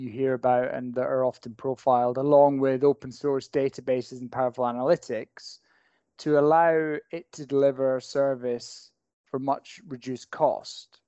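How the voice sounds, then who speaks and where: A man's medium pitch with a Scottish accent. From Scotland. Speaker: technology lawyer. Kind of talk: casual professional discussion.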